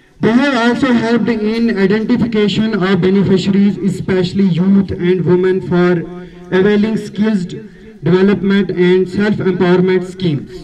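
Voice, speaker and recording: Over light background noise, a man speaks at a high pitch with fairly even intonation. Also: moderate pace. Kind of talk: formal speech. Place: street. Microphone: podium.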